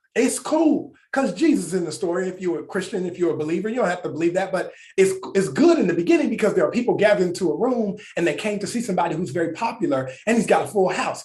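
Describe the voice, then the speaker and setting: A man speaks very fast in a high pitch, with an animated tone and lively intonation. Audible room echo surrounds his voice. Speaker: pastor. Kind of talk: sermon.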